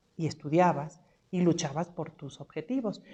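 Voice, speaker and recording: The voice has a dark, mellow tone with ordinary pitch variation. It moves at a moderate pace against a quiet background. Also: woman. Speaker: homemaker, trained accountant. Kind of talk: casual chat.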